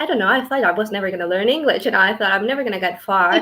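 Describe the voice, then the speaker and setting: A woman with a Spanish accent speaks at medium pitch with ordinary pitch variation. Her tone is bright and sharp. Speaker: clinical research associate. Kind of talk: interview.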